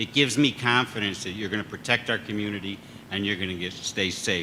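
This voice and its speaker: A man with a fairly low voice talks at a fairly quick clip in a fairly even tone, with noticeable noise in the background. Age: 60s. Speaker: fire service chief and instructor. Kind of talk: ceremony speech.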